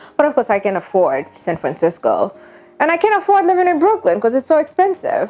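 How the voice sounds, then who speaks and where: With noticeable background noise around her, a woman's voice swings very widely in pitch. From Haiti. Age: 30s. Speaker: vlogger. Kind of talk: personal vlog monologue.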